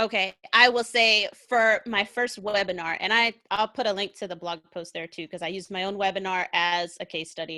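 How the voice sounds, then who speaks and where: Energetic and bright, sharp in tone, a woman speaks at a medium pitch and moderate pace with hardly any pauses and big swings in loudness. The recording is very clean, with a silent background and a dry, close sound with no echo. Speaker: content marketer, army veteran. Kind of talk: interview on livestream show.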